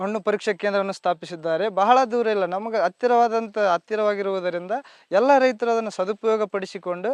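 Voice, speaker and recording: Here a man speaks at a high pitch with fairly even intonation. The sound is dry and close with no echo, against a quiet background. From North Karnataka, Raichur district. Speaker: sugarcane farmer. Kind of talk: farmer testimonial interview. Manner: halting.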